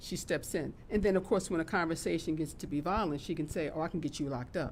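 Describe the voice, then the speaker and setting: A woman's fairly low voice, animated in tone, ordinary pitch variation, very fast pace. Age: 60s. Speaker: domestic violence counselor. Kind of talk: talk show discussion.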